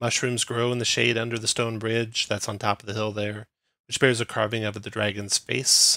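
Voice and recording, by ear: Someone reads the text aloud in a natural voice while the background stays quiet.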